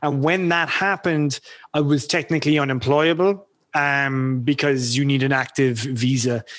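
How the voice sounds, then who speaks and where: Recorded very cleanly against a silent background, a man with an Irish accent and a fairly high pitch speaks at a moderate pace with ordinary pitch variation. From Ireland. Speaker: freelancer, former engineer. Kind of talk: podcast interview. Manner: halting.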